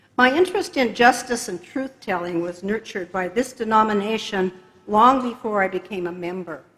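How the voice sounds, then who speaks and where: A woman's voice with ordinary pitch variation, over noticeable background noise. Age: 70s. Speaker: church member, retired investigative reporter. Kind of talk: testimony. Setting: church. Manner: occasional hesitations.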